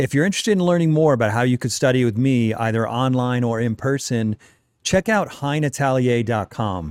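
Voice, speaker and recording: Over a very clean, silent background, a man in a normal speaking voice talks at a fairly quick pace with medium pitch, very even loudness and lively intonation. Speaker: podcast host. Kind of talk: interview.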